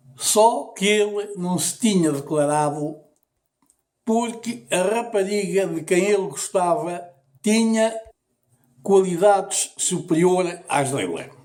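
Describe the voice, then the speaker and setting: Speaking very slowly with long, frequent pauses, a man with a high pitch and ordinary pitch variation is heard in a room with audible echo. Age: 70s. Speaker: storyteller. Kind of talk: storytelling.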